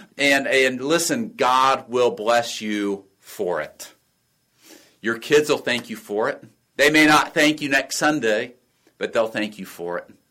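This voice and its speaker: A man's plain, everyday voice at a medium pitch and a fairly slow pace, in a very clean recording with a silent background. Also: lively intonation. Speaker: pastor and podcast host. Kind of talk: pep talk. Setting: video talk recorded for leaders. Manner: earnest, encouraging, exhorting; warm, upbeat, direct address.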